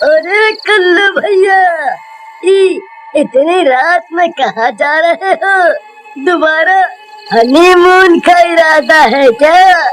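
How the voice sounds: The pace is very slow. The voice is a cartoonish character voice.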